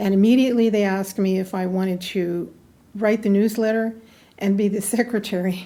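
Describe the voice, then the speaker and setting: Speaking with an American accent at a moderate pace, a woman has a medium pitch, a dark, mellow tone and fairly even intonation. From US West, northern California (Susanville). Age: 70s. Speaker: local historian, historical society secretary. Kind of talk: interview. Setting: museum.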